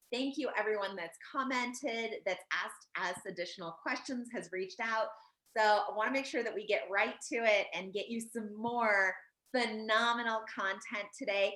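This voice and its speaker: This woman's voice has a bright, sharp tone and a fairly high pitch. She sounds animated, with ordinary pitch variation. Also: moderate pace. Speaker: credit advisor and educator. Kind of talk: educational explainer in casual chat.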